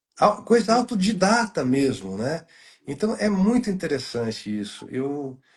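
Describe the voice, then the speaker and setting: A somewhat breathy man at a very slow pace with very wide pitch swings. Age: 60s. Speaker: journalist, good-news site creator. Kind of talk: casual chat. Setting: live stream video call. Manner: halting, many fillers.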